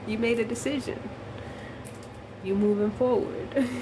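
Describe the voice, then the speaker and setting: A woman's high voice at a moderate pace with ordinary pitch variation, amid noticeable background noise and audible room echo. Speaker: spiritual livestreamer. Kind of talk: casual chat. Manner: soft-spoken.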